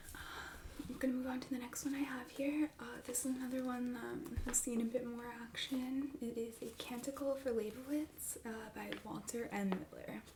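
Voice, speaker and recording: Soft-spoken and high-pitched, a woman keeps a moderate pace and fairly even intonation over noticeable background noise. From Italian-American, Philadelphia. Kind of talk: ASMR roleplay as a used bookstore clerk.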